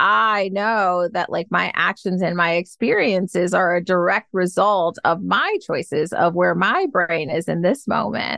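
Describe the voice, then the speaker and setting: A woman with an American accent speaks at a fairly slow pace with hardly any pauses, in a bright, sharp tone with vocal fry, ordinary pitch variation and very even loudness. The sound is dry and close with no echo. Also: medium pitch for a woman. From US Midwest, Detroit, Michigan. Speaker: happiness coach. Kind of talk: podcast interview.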